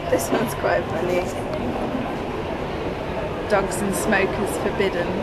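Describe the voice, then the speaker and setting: The speech moves at a very slow pace. Loud noise fills the background. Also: woman. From England. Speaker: vlogger. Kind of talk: casual vlog talk to camera. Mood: cheerful, chatty. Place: station. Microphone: phone near.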